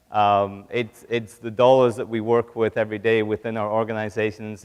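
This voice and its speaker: In a British accent, a man talks with monotone, flat intonation. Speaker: business executive, keynote speaker. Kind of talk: conference keynote. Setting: stage with audience.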